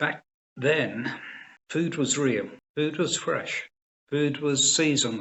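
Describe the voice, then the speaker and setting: A man with a southern English accent talks at a fairly slow pace. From England, Cambridgeshire area. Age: 70s. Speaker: organic farming advisor. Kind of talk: interview.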